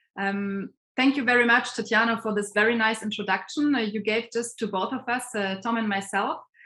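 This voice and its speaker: Speaking with a German accent, a woman with a fairly high, bright, sharp voice moves at a fairly quick pace with hardly any pauses and fairly even intonation. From Germany. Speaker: professor and interviewer. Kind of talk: online interview. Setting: video call.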